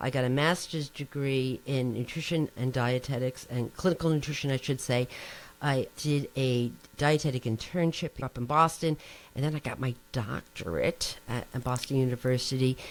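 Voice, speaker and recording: A woman's very deep, low voice with fairly even intonation and a New Jersey accent. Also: moderate pace. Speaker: nutrition professor. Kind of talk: interview. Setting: podcast.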